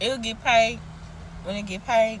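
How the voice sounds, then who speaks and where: A woman's fairly high voice in a Southern US accent, with ordinary pitch variation and noticeable background noise. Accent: Southern US, casual dialect. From US South. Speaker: TikTok creator, parent. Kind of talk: casual vlog rant. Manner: animated.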